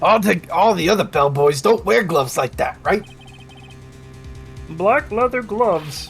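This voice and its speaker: A put-on character voice at a middle pitch moves at a moderate pace. Long, frequent pauses break it up, with clear music in the background. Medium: fan dub.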